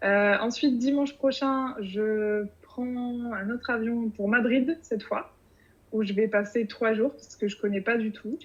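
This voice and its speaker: Speaking very slowly, a woman with a fairly high pitch keeps her intonation fairly even while her loudness swings widely. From France, Bordeaux region. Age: 30s. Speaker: podcast writer about to move abroad. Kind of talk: interview. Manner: hesitant, many fillers.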